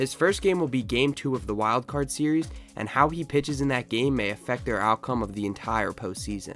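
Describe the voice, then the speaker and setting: Over music in the background, a man speaks at a fairly quick pace in a medium pitch with lively intonation. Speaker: sports content creator. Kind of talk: sports commentary talk to camera.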